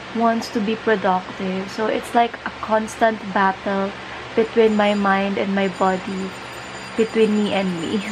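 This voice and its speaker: A woman's flat, monotone delivery over noticeable background noise. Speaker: vlogger. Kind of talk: casual vlog chat. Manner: drowsy, low-energy talk lying down. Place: home room. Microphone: phone near.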